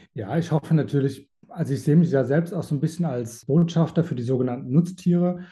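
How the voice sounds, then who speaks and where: Very fast and with hardly any pauses, a man talks. His fairly high voice has a dark, mellow tone. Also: ordinary pitch variation. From Germany, rural village. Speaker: animal sanctuary founder. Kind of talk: interview. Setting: video call.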